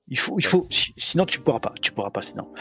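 Vocal fry runs through the voice. The pace is very fast. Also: man. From southern France, Montpellier. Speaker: penetration tester and bug bounty hunter. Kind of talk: casual chat. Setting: live stream recording.

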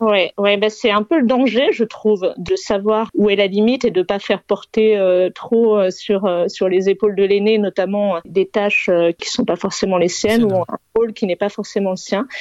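The woman's intonation stays fairly even. Her pitch is medium. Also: moderate pace. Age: 40s. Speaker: single mother and entrepreneur. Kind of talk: casual chat. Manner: halting.

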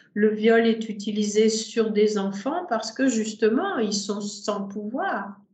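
A woman at a very slow pace, ordinary pitch variation, and audible room echo. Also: fairly high pitch for a woman. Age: 60s. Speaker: sex therapist and tantra teacher. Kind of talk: interview conversation. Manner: hesitant, many fillers.

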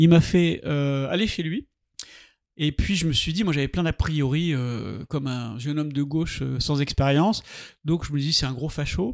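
A man at a fairly slow pace, with ordinary pitch variation and long, frequent pauses. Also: fairly high pitch for a man, very clean recording, silent background. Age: 60s. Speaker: artist. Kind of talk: interview. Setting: artist's studio.

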